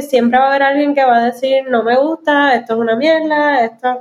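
A woman's high-pitched voice at a moderate pace. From Puerto Rico. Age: young. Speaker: illustrator and comedian. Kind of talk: interview.

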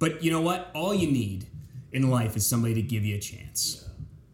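A man with an American accent, a somewhat breathy medium-pitched voice, lively intonation, and a moderate pace, with audible room echo. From south central Pennsylvania (York). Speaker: TV news anchor. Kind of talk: casual interview chat.

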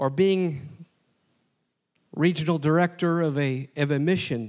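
On a very clean recording with a silent background, a man in an American accent speaks at a very slow pace. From Wisconsin, US Upper Midwest. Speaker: preacher, Bible college marketing director. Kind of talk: sermon. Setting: college chapel with congregation.

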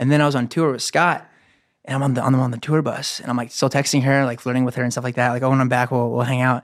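The pace is very fast. A man delivers it all in a flat, monotone intonation. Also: medium pitch for a man. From Huntington. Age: 30s. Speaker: content creator. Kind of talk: casual chat. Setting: studio.

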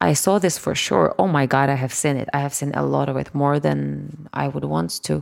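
Speaking at a moderate pace in a Russian accent, the voice runs on with hardly any pauses. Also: woman. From Kyiv, Ukraine. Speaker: singer-songwriter and music producer. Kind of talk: interview.

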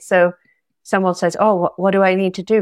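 A woman in a Scottish accent, fairly quick and monotone, with flat intonation. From Scotland. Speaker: astrologer and yoga teacher. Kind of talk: interview conversation.

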